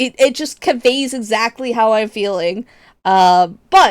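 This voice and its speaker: A woman talks at a fairly slow pace in a fairly high voice with ordinary pitch variation. The recording is very clean, with a silent background. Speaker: VTuber streamer. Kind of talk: casual gaming livestream chat. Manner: expressive, emphatic delivery; halting, repeats words.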